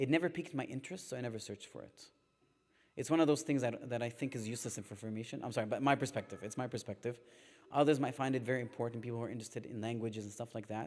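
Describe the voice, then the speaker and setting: The delivery is very fast, with ordinary pitch variation. Loudness swings widely. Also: man, medium pitch for a man. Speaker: religious teacher. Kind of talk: religious lecture. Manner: sometimes mumbling.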